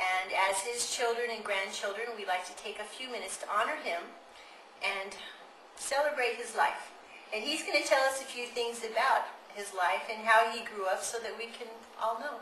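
A woman at a fairly high pitch with ordinary variation, at a moderate pace, amid audible room echo and light background noise. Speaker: interviewer, family member. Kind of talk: interview questions. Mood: warm, respectful. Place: home room.

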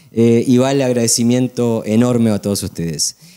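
In a dark, mellow tone, a man speaks at a moderate pace with ordinary pitch variation. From Uruguay. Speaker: event collaborator; TV guest. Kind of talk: TV interview. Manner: halting. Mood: friendly, grateful. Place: studio. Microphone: handheld.

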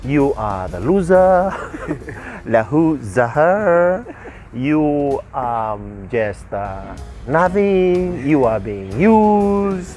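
Over faint background music, a man with a fairly high pitch speaks at a very slow pace with very wide pitch swings in a dry sound with no echo. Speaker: radio breakfast show host. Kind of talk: casual radio banter, talk show. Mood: playful, joking. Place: open country.

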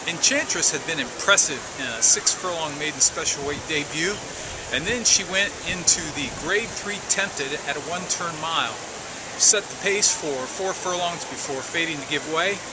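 Male speech, neither fast nor slow, over clearly audible background noise. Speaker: horse racing vlogger and bettor. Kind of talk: casual vlog commentary on race day. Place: street. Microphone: phone near.

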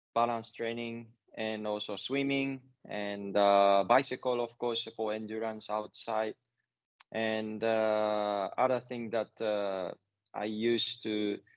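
Against a quiet background with a dry sound and no echo, a man speaks at a very slow pace. His intonation is monotone and flat. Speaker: interviewee. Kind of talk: interview answer. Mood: relaxed, friendly. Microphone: earbuds.

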